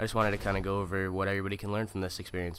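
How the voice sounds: The voice is nasal with a fairly bright tone and moves at a very fast pace. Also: man.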